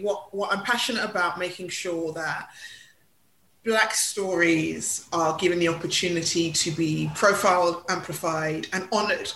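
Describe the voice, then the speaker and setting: There is audible room echo as a woman with a London accent speaks at a fairly slow pace. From London (Hackney). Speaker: PR consultant and cultural commentator. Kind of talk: interview.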